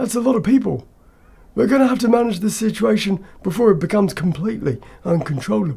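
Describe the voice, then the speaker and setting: A man talks very fast in a raspy, put-on character voice. His pitch is high and his intonation is lively. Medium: read story. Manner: terse, matter-of-fact.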